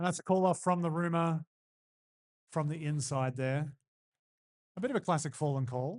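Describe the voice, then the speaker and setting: Recorded with a dry, close sound and no echo, a man with an Australian accent speaks at a moderate pace in a fairly high pitch with ordinary pitch variation. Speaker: roller derby announcer. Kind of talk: live commentary. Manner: animated.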